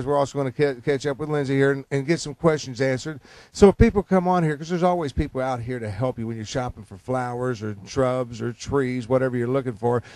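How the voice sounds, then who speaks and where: The man talks at a very fast pace with hardly any pauses. His pitch varies in an ordinary way. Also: medium pitch for a man, big swings in loudness, dry, close sound with no echo. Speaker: infomercial host. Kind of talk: infomercial host talk. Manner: upbeat, chatty.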